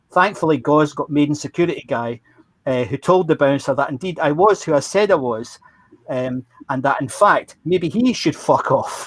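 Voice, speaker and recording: With a Glaswegian accent, a man at a fairly high pitch speaks at a moderate pace using lively intonation. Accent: Glaswegian Scottish. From Scotland, Glasgow. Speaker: former roadie recounting memories. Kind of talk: storytelling.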